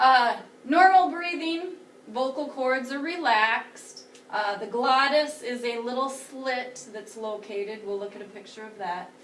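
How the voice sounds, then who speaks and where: In audible room echo, a woman with a high pitch talks at a fairly slow pace, her intonation lively and her loudness swinging widely. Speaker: teacher. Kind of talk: lecture.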